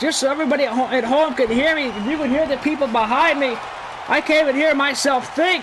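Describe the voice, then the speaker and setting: Someone shouts loudly in an animated tone at a very fast pace. Crowd noise fills the background. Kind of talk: live commentary. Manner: loud, shouting.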